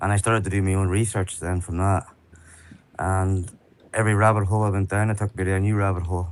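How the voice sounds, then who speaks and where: A man of fairly low pitch talks at a very fast pace in a monotone, flat intonation. Long, frequent pauses break up his speech. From Ireland. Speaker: online activist. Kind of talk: interview.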